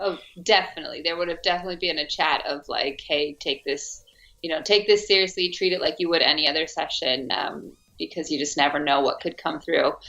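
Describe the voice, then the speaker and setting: Over music in the background, a woman with an American accent talks at a fairly quick pace and a fairly low pitch with ordinary pitch variation. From US, Arizona. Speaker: actress. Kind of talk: interview.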